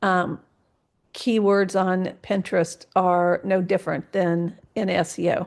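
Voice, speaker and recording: At a very slow pace, a woman with a medium pitch speaks in a monotone, flat intonation at very even loudness over a quiet background. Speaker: social media consultant presenting a workshop. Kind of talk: webinar presentation. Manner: hesitant, many fillers.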